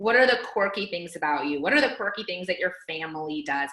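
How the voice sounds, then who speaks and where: An animated woman with an American accent, at a very fast pace and with very wide pitch swings. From California, Fresno. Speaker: team coach. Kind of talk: team training call.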